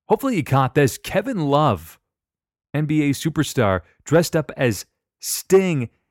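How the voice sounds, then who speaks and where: Recorded very cleanly with a silent background, a man's voice has a dry, close sound with no echo. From Canada. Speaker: wrestling podcast host. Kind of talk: solo podcast commentary.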